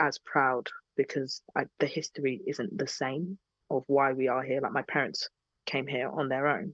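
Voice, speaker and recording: A woman's very deep, low voice with a British accent, fairly slow and with ordinary pitch variation, dry and close with no echo over a quiet background. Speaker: singer-songwriter. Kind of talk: podcast interview. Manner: animated.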